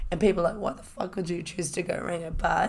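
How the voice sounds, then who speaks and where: Speaking at a fairly quick pace, a woman with a fairly low pitch talks in a New Zealand accent. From New Zealand, Hamilton. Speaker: podcast host, fitness enthusiast. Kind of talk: casual solo monologue. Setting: home recording with microphone. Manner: animated.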